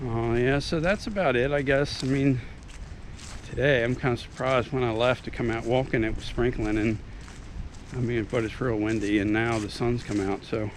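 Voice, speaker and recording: A man's medium pitch at a moderate pace, with ordinary pitch variation. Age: 50s. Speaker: YouTube vlogger, military veteran. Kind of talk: casual vlog monologue. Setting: outdoors, out walking. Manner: halting, many fillers and repetitions.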